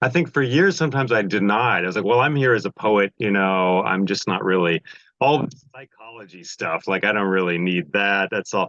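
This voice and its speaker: A man speaks in an ordinary speaking voice at a fairly low pitch. His intonation is lively. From United States. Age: 50s. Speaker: poet and storyteller. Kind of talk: interview answer.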